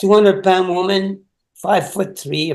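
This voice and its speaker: At a moderate pace, a man talks in a high pitch. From Quebec, east end of Montreal. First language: French. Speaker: author. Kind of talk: interview.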